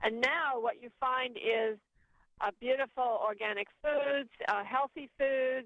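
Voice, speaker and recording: With fairly even intonation, an unremarkable speaking voice proceeds at a fairly slow pace. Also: woman. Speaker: author and educator. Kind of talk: interview and guided meditation.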